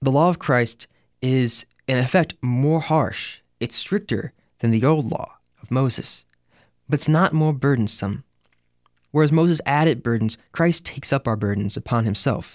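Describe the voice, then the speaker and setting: A man's normal speaking voice at a fairly high pitch with ordinary variation, moderate in pace, dry and close with no echo, on a very clean recording with a silent background. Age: 20s. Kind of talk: scripture reflection monologue.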